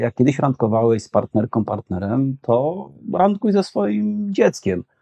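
A man's medium-pitched voice at a very slow pace, with very wide pitch swings and very even loudness. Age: 40s. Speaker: social psychology professor. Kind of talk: conversational interview.

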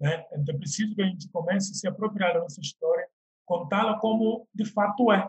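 A man with a high pitch speaks at a fairly quick pace with ordinary pitch variation. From Guinea-Bissau, Bissau. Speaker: actor and model. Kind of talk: interview.

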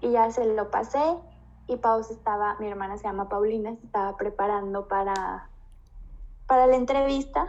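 In an unremarkable speaking voice, a woman with a fairly high pitch talks at a moderate pace, showing ordinary pitch variation and big swings in loudness. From Mexico, Guanajuato (Moroleón). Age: 20s. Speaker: flight attendant. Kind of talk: casual chat.

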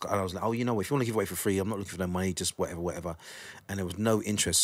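In a very clean recording with a silent background, a man with a South London accent speaks at a very deep, low pitch with fairly even intonation. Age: 40s. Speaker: drum and bass DJ and producer. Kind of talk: casual interview chat. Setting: studio, recorded on video.

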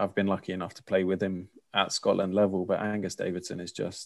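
A man speaks in a fairly low voice with a slight London accent. His intonation is flat and monotone against a quiet background. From London, England. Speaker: korfball player and coach. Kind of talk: casual interview chat.

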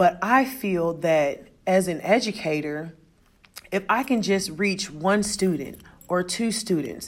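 With ordinary pitch variation, a woman speaks in an American accent. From US Midwest. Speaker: teacher. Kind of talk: podcast monologue, reflective talk. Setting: recorded at school, announcements in background. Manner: loud, carries well.

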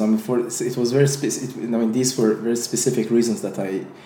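A man with an Azerbaijani accent, medium pitch, a fairly quick pace and noticeable background noise. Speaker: entrepreneur and YouTuber. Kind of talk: casual interview conversation. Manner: halting, many fillers.

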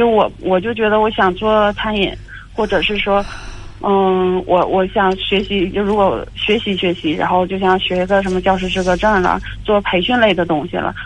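Woman's medium-pitched voice at a moderate pace, with fairly even intonation. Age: 30s. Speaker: caller, bank manager. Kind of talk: call-in advice conversation. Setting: phone call. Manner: halting.

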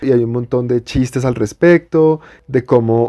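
His tone is dark and mellow, at a medium pitch for a man. He speaks at a very slow pace with ordinary pitch variation. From Colombia, Bogotá. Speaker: podcast co-host. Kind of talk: casual chat.

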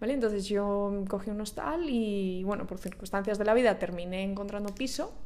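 In a Spanish accent, a woman speaks at a moderate pace and medium pitch with an animated tone, ordinary pitch variation and hardly any pauses, while room echo is audible. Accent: Peninsular Spanish. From Spain. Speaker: podcaster. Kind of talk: casual monologue. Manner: hesitant fillers.

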